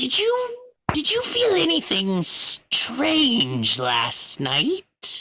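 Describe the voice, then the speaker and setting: A put-on character voice, high in pitch and quiet, moves at a very slow pace. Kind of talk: tabletop game roleplay. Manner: hushed, secretive.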